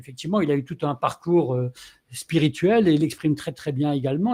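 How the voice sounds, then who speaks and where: This man has a fairly high pitch and a dark, mellow tone, and he speaks at a moderate pace. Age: 60s. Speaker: live stream moderator. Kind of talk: casual live discussion wrap-up. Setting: online live stream.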